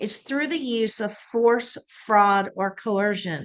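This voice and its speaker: A woman talks at a moderate pace with a fairly high pitch, an unremarkable speaking voice. The background is quiet. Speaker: church social justice director. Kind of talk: webinar presentation.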